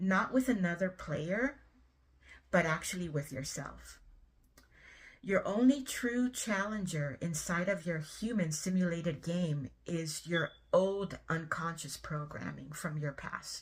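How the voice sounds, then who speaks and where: Her fairly low pitch and lively intonation come through as a woman talks at a fairly slow pace in a somewhat breathy voice. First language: not English. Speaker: spiritual content creator. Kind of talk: monologue to camera. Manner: casual, many filler ums.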